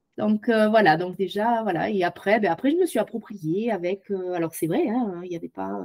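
A woman talks at a moderate pace in a medium pitch with ordinary pitch variation. It is a normal speaking voice. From southwest France, Tarn-et-Garonne. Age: 50s. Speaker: podcast guest, former au pair. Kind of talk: interview testimony.

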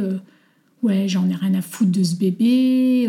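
Her tone dark and mellow, a woman speaks somewhat breathily with fairly even intonation. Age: 40s. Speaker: mother sharing her story. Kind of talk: testimony.

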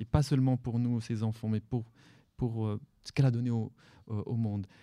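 In a very clean recording with a silent background, a man with an Arabic accent speaks at a medium pitch in a dark, mellow tone with fairly even intonation. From Morocco, Salé. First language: Arabic (speaking French). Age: 40s. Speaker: novelist. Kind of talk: live radio interview. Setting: library with audience.

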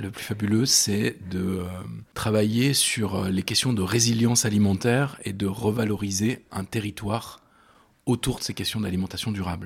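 A man's somewhat breathy, fairly low-pitched voice. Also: fairly even intonation. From France, Loire (Rive-de-Gier, between Saint-Étienne and Lyon). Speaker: restaurant co-founder, entrepreneur. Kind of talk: interview. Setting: restaurant kitchen. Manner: halting, many repetitions.

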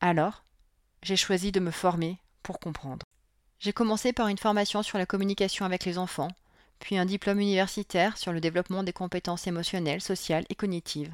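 A woman's medium-pitched voice at a fairly quick pace, an ordinary speaking voice with fairly even intonation, a dry, close sound with no echo and a very clean recording over a silent background. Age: 40s. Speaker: parenting coach and podcast host. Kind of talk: solo podcast monologue.

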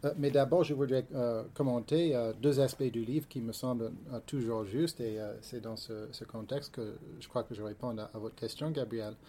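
A man with an English accent speaks at a medium pitch in a dark, mellow tone. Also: ordinary pitch variation, moderate pace. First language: English (speaking French). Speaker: history professor. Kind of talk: reading aloud; panel discussion. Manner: halting.

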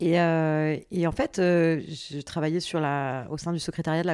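A woman with an ordinary speaking voice, fairly low in pitch and fairly even in intonation, on a very clean recording with a silent background. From France, Paris and Béziers region. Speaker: social entrepreneur and activist. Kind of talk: interview conversation.

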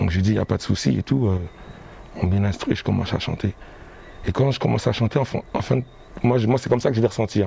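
Over noticeable background noise, a man with a fairly low pitch and ordinary pitch variation talks at a very fast pace broken by long, frequent pauses. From Guadeloupe, Pointe-à-Pitre. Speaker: singer. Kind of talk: casual interview. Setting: bookshop cultural space.

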